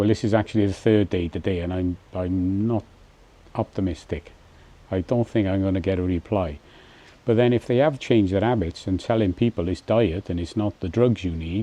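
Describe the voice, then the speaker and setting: In an English accent, a man speaks fairly quickly at a fairly low pitch with ordinary pitch variation. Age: 60s. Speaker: vlogger. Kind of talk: casual vlog monologue. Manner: hesitant, many fillers and restarts.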